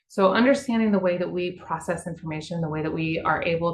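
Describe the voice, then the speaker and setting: A woman talks at a fairly quick pace. Room echo can be heard. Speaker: water utility communicator. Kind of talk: webinar presentation. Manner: fast; casual, conversational.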